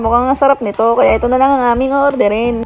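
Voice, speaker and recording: Someone talks at a very fast pace with fairly even intonation while music plays in the background. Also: woman. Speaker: vlogger. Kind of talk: travel vlog narration. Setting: outdoors at crowded light display. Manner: altered, imitating vlogger tone.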